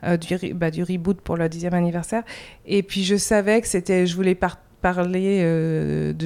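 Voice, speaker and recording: Speaking in a normal speaking voice, this woman keeps her tone at a middle pitch and her intonation fairly level. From France. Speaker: comics artist. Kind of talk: interview. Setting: in-person interview in Montreal.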